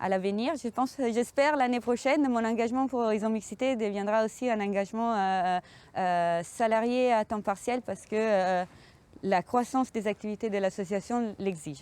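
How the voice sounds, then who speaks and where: A woman with an Italian accent talks at a moderate pace, her pitch fairly high with ordinary variation. The background is quiet. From Italy. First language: Italian (speaking French). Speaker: sailing communication project manager. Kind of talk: interview monologue about her job. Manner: hesitant, many fillers.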